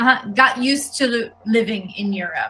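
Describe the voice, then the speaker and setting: Music plays in the background as a woman with an American accent speaks with fairly even intonation. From New York, US. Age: 30s. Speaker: English teacher. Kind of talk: online language lesson.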